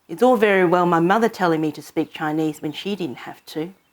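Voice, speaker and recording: With an Australian accent, a woman talks using lively intonation. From Hong Kong, then Australia. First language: Cantonese. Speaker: storyteller. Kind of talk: personal narration.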